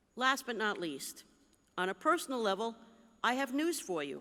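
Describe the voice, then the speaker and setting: A woman with an American accent speaks at a fairly slow pace in a fairly high pitch, her bright, sharp tone marked by very wide pitch swings. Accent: New Jersey, stronger when excited. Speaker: bishop. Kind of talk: convention address.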